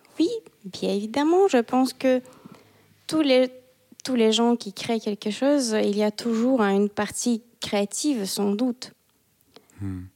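In a dry, close recording with no echo, a woman with a Russian accent and a fairly high, dark, mellow voice talks very slowly, with ordinary pitch variation and long, frequent pauses. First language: Russian (speaking French). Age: 30s. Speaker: embroidery artist. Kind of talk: casual interview. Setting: her art studio.

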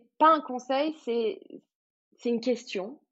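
Lively in intonation, a woman speaks at a fairly high pitch and a very slow pace. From French Riviera, Cannes. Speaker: guesthouse owner. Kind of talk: casual interview. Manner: hesitant, many fillers.

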